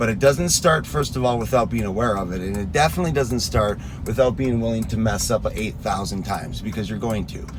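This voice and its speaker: A man talks at a fairly quick pace with hardly any pauses, at a medium pitch. Audible room echo and noticeable background noise surround his voice. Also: lively intonation. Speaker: fitness coach. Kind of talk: motivational talk. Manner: early morning voice.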